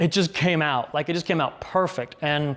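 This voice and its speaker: At a fairly quick pace, a man with a fairly high voice speaks over noticeable background noise. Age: 40s. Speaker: business consultant. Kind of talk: casual talk to camera. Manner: fast; casual, many fillers. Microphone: lapel mic now; later part roomy with echo.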